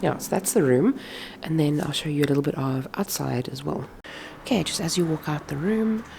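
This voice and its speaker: Over noticeable background noise, a woman speaks at a fairly quick pace. Her very deep, low pitch moves with lively intonation. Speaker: craft vlogger. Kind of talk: casual vlog. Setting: echoey room then outdoors on a farm. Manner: chatty, informal. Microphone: echoey room.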